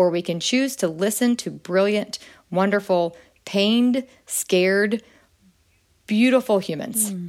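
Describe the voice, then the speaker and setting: In a very clean recording with a silent background, a woman with a plain, everyday voice speaks with lively intonation. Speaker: guest, activist and educator on racial bias. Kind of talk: interview conversation about race.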